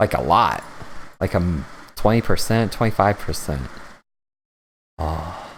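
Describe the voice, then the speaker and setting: A man's very deep, low voice with vocal fry, lively intonation, and long, frequent pauses. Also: fairly slow pace, very clean recording, silent background. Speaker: FPV drone hobbyist livestreamer. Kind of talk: casual livestream chat. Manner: animated.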